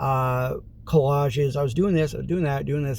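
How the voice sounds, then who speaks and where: This man's voice is somewhat breathy and fairly high in pitch. He talks at a moderate pace with ordinary pitch variation. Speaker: vlogger. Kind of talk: casual vlog monologue.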